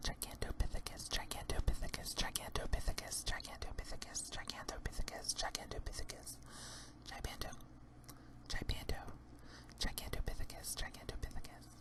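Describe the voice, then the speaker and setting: Someone whispers at a moderate pace with long, frequent pauses amid noticeable background noise. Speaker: drag queen ASMR creator. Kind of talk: ASMR whispered Q&A. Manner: whispered.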